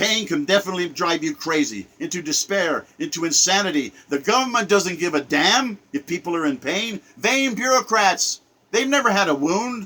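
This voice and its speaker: Raising and projecting his high-pitched voice, a man speaks at a moderate pace with very wide pitch swings and hardly any pauses. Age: 70s. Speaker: political commentator. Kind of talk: rant monologue. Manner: animated.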